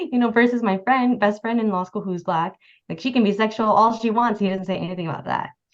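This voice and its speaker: A woman speaks with a Californian accent and lively intonation. The background is quiet. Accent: General American, Californian. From Los Angeles County, California suburbs. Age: 20s. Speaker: tax attorney. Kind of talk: oral history interview. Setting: video call.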